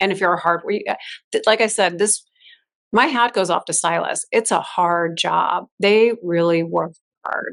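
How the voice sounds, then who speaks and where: In an American accent, a woman speaks at a moderate pace with vocal fry, a medium pitch and ordinary pitch variation. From Chicago, US Midwest. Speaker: fashion stylist. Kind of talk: interview conversation.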